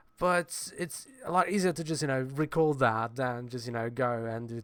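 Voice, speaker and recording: Someone with a Polish accent speaks at a moderate pace in a very clean recording with a silent background. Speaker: comics blogger and video creator. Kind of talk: casual vlog talk to camera. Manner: hesitant, many fillers; animated, gestures a lot.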